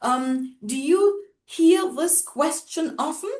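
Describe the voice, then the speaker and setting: Her intonation lively, a woman with a German accent talks at a high pitch. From Germany, Hamburg. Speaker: racism-sensitive educator. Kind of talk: casual chat.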